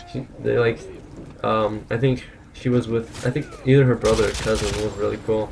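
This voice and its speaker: Someone mumbles at a moderate pace over noticeable background noise. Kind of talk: casual gameplay commentary. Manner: mumbling.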